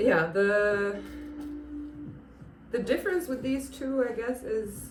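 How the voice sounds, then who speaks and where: A woman's high pitch with lively intonation at a very slow pace, with audible room echo. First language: not English. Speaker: plant youtuber. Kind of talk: casual tutorial. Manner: halting, many fillers.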